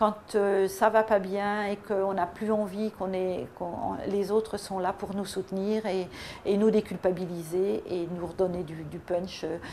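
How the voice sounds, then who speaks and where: A woman's medium-pitched voice moves fairly slowly, its intonation fairly even. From Paris region, France. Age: 60s. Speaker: weight-loss program customer. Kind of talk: testimonial. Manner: halting, many hesitations.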